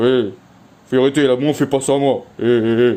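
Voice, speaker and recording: Using a put-on character voice, a man talks at medium pitch and a moderate pace with very even loudness. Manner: stern, scolding, exaggerated.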